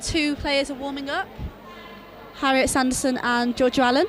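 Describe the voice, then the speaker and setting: Against noticeable background noise, a woman talks at a fairly quick pace in a high-pitched voice. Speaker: netball commentator. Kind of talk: live commentary. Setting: arena with crowd. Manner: loud.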